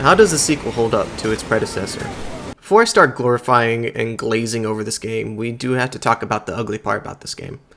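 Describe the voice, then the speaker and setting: Against noticeable background noise, a man with a medium pitch speaks at a very fast pace with fairly even intonation. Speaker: gaming youtuber. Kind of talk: game review commentary.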